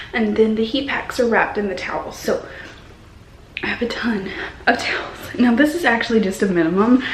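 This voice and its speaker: A woman whispers with an American accent. Noticeable background noise and audible room echo surround her. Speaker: vlogger. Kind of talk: casual vlog talk. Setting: workplace, doctor's office. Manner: whispering.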